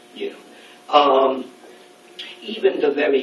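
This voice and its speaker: Noticeable background noise and audible room echo fill this recording. A man speaks at a very slow pace. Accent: American. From New York City, Brooklyn. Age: 60s. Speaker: speaker at a student event. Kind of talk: lecture. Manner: halting.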